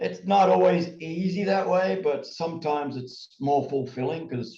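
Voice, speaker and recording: A man talks at a fairly slow pace in a dark, mellow, somewhat breathy voice with lively intonation. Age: 70s. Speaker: tai chi and ski instructor. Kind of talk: interview.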